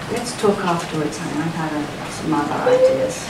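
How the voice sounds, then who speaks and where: A woman's voice comes through loud background noise and audible room echo. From Britain. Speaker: journalist and author. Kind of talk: audience Q&A answer. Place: shop. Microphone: camera far.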